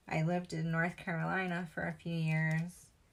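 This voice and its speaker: Fairly slow and flat in monotone, a woman with a Western New York accent speaks at a fairly low pitch. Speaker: crafter. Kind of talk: tutorial. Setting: live stream.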